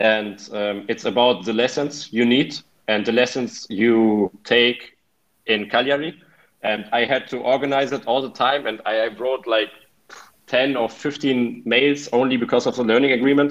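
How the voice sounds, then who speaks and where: The speaker has a German accent and a moderate pace. The intonation stays fairly even. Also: man, medium pitch for a man. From Germany, Hannover. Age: 20s. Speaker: exchange student. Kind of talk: interview. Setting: video call.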